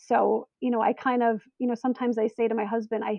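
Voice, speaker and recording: A woman has an unremarkable speaking voice at a fairly high pitch. She talks at a moderate pace. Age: 40s. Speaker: stay-at-home mom. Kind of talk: interview.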